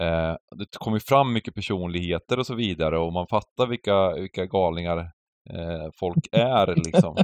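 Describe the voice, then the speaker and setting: Speaking at a moderate pace with hardly any pauses, a man has a very deep, low pitch and ordinary pitch variation. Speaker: poker podcast co-host. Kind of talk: casual chat. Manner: animated, loud ranting.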